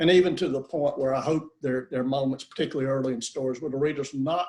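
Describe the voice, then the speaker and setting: With a strong Southern US accent, a man speaks in fairly even intonation. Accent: southern US accent, kept strong. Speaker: author. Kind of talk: author Q&A interview. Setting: video call. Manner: halting, many repetitions and fillers.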